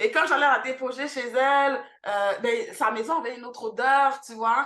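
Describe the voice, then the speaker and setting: A woman's raised, projected voice, high in pitch and bright and sharp in tone, with ordinary pitch variation and a fairly slow pace. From Montreal, Quebec, with teen years in Haiti. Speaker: cultural centre founder. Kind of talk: podcast interview. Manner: many hesitations (euh).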